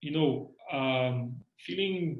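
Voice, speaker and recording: A man speaks with a Bosnian accent. His pitch is fairly high. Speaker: university lecturer. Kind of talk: reflective interview. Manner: halting, many repetitions and fillers.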